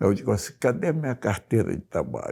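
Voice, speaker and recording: A man speaks in a dark, mellow tone with vocal fry. The recording is very clean, with a silent background. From Rio de Janeiro, Brazil. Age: 80s+. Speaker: journalist. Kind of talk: oral history interview.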